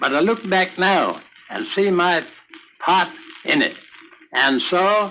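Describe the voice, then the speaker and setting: Noticeable background noise sits behind a man with a high pitch and a raised, projected voice. He speaks at a very slow pace with long, frequent pauses. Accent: American. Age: 80s+. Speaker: Civil War veteran. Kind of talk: recorded oral history reminiscence.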